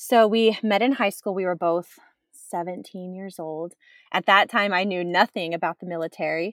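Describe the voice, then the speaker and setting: A woman with an American accent and a plain, everyday voice speaks at a moderate pace and medium pitch, with fairly even intonation, big swings in loudness, and a dry, close sound with no echo. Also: very clean recording, silent background. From Texas. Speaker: military spouse. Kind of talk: interview conversation.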